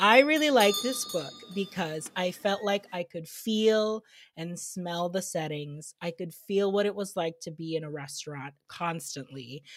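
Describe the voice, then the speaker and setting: Over music in the background, a woman with a fairly low pitch speaks at a fairly slow pace, her intonation lively and her loudness swinging widely. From immigrant family, grew up in US. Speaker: podcast host and food content creator. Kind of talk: casual chat. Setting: video recording, dressed up on camera.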